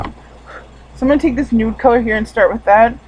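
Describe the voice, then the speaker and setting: Noticeable background noise sits behind a woman's fairly high voice with ordinary pitch variation. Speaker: beauty vlogger. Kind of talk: tutorial. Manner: casual, filler words.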